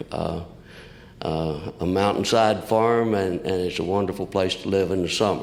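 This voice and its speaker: With a Southern US accent, a man speaks at a very deep, low pitch with fairly even intonation and audible room echo. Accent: southern drawl. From Kentucky, US South. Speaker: recovering alcoholic speaker. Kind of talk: testimony. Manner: halting.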